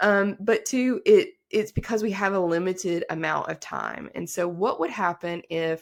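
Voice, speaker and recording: The speaker is a woman. Her accent is American. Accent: Southern twang, comes out now and then. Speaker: attorney. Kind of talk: podcast interview. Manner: casual, many fillers.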